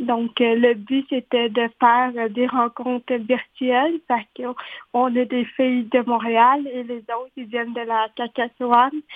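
A high-pitched woman talks very slowly in a flat monotone, barely pausing at all. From Quebec, Montreal. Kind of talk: interview.

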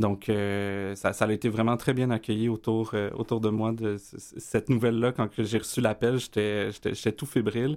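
In a very clean recording with a silent background, a man speaks at a medium pitch. He goes fairly slowly in a flat monotone. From Quebec, east Montreal (Rosemont). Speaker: community organization director. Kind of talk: radio interview.

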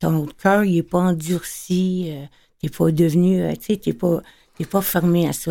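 A woman with a fairly low, dark, mellow voice speaks at a fairly slow pace with ordinary pitch variation. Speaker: guest sharing forgiveness testimony. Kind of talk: panel discussion.

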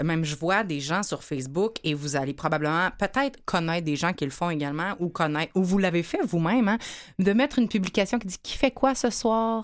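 Speech comes at a fairly quick pace with lively intonation and an animated tone, in a Quebec accent, on a very clean recording with a silent background. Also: woman, medium pitch for a woman. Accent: Québécois French. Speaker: radio host. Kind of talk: casual chat.

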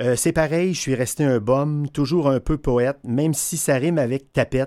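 A man with a plain, everyday voice speaks at a fairly high pitch and a moderate pace. The recording is very clean, with a silent background. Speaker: music columnist. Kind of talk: radio column.

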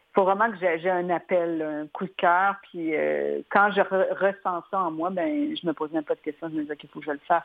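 An ordinary speaking voice moves at a moderate pace with hardly any pauses, ordinary pitch variation, and big swings in loudness. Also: woman, fairly low pitch for a woman. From Quebec. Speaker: illustrator. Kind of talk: interview.

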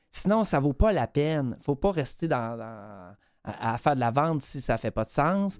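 The speaker talks at a fairly slow pace in a Quebec accent, in a very clean recording with a silent background. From Quebec, Bas-Saint-Laurent. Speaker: radio columnist and comedian. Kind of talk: radio column.

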